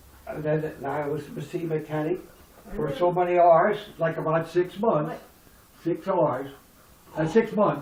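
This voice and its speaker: A man talks at a high pitch and a fairly slow pace, with ordinary pitch variation. He leaves long, frequent pauses over noticeable background noise. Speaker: retired steelworker and mechanic. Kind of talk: family storytelling, reminiscing.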